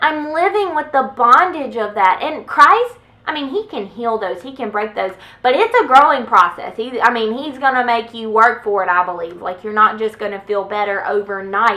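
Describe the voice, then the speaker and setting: With a bright, sharp tone and big swings in loudness, a woman speaks at a moderate pace in a fairly high pitch with lively intonation. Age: 20s. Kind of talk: casual talk to camera. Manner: occasional stutter.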